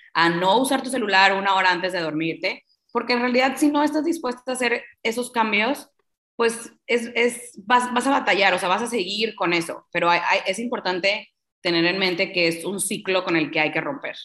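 In a bright, sharp tone, a woman speaks at a moderate pace with lively intonation. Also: medium pitch for a woman. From Mexico, Tampico, Tamaulipas. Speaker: sleep coach. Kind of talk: interview.

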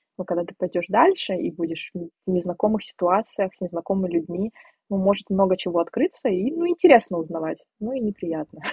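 A woman at a medium pitch with ordinary variation and a fairly quick pace. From Siberia, Russia. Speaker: podcast guest. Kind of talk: casual chat. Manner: animated.

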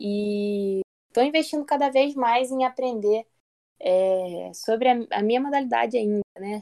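A woman's dark, mellow voice at a moderate pace, with ordinary pitch variation and a dry, close sound with no echo. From Brazil, Maricá, Rio de Janeiro state. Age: 20s. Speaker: athlete, lifesaving swimmer and navy sergeant. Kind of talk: interview.

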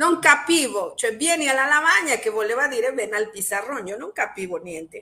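A woman speaks in a raised, projected voice at a high pitch, her tone bright and sharp. Her pitch swings very widely. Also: moderate pace, big swings in loudness. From Mexico. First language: Spanish (speaking Italian). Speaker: Italian teacher and linguistics doctoral student. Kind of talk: interview. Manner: halting.

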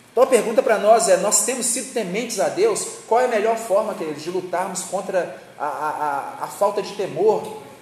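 With noticeable background noise behind him, a man with a high-pitched voice speaks at a moderate pace with hardly any pauses, ordinary pitch variation and big swings in loudness. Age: 30s. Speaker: preacher. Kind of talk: sermon.

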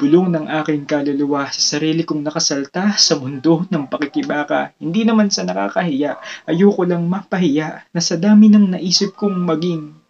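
A high-pitched man speaks at a moderate pace with ordinary pitch variation. He hardly pauses at all. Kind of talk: spoken word poetry performance. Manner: reflective, earnest, rhythmic delivery; rhyme-driven, rising emotion, pauses for effect.

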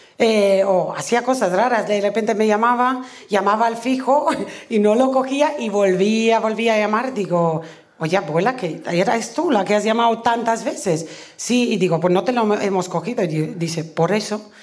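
Speaking at a moderate pace with very even loudness, a woman with a fairly high pitch and ordinary pitch variation is heard over noticeable background noise and audible room echo. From Romania. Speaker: comedian. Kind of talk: live comedy storytelling. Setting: stage with audience.

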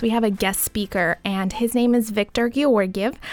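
Delivered at a moderate pace, an unremarkable speaking voice keeps a fairly even intonation. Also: woman. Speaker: nonprofit civic organization host. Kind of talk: interview.

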